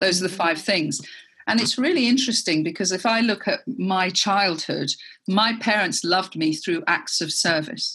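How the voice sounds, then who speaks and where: With an English accent, a woman speaks at a moderate pace in a medium pitch, her tone bright and sharp and her intonation lively. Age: 50s. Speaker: entrepreneur. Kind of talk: interview.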